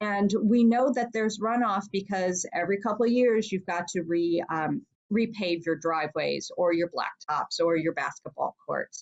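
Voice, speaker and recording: This woman has a plain, everyday voice, with ordinary pitch variation and a moderate pace. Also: medium pitch for a woman. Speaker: state senator. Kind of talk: talk with Q&A.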